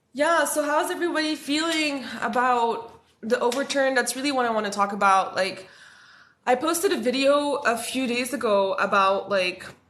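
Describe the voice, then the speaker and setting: A woman speaks at a moderate pace in a high voice. Her intonation is lively. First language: French. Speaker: spiritual content creator. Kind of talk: livestream talk. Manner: casual, filler-heavy.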